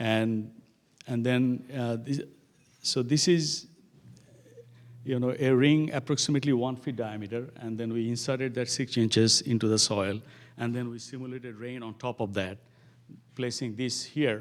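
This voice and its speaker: On a very clean recording with a silent background, a man with a non-native accent speaks at a moderate pace and medium pitch, fairly even in intonation, with long, frequent pauses. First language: not English. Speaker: professor. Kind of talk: lecture. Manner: halting, many fillers.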